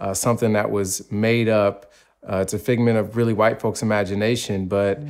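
Against a quiet background, a man with a fairly low pitch talks at a fairly quick pace in a monotone, flat intonation. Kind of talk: interview answer. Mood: thoughtful, earnest. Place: home room. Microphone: lapel.

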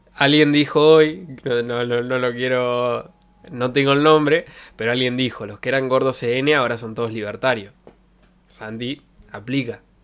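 A man with a Rioplatense accent at a fairly slow pace. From Argentina. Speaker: streamer. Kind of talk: casual chat. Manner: animated. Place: home room. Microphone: studio mic.

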